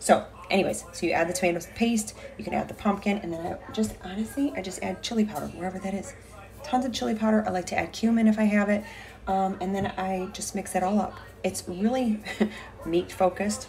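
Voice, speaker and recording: Over light background noise, a woman speaks fairly quickly with ordinary pitch variation. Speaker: fitness coach vlogger. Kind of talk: casual vlog chat. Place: kitchen. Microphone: phone near.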